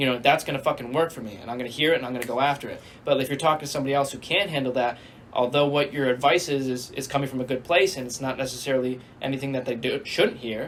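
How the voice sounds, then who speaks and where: The man talks very fast in a medium pitch. His intonation is fairly even, and noticeable noise fills the background. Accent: American. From Connecticut, US. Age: 20s. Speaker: self-growth social media creator. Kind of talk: casual chat.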